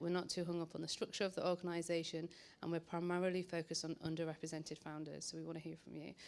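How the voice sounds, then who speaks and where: A woman with a northern English accent speaks very fast at a fairly low pitch, in a monotone with flat intonation. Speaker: social investor. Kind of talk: panel presentation.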